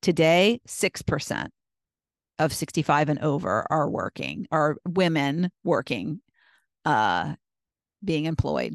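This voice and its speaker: Recorded dry and close with no echo against a quiet background, a woman with an American accent and vocal fry speaks very slowly in a very deep, low-pitched voice with ordinary pitch variation and long, frequent pauses. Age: 60s. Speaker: podcast host. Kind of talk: solo podcast monologue.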